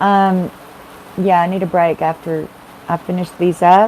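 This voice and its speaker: A woman of medium pitch with a Texas accent, fairly slow and monotone, flat in intonation, amid noticeable background noise. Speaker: tarot reader. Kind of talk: live-stream tarot readings. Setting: live stream. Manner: chatty, casual.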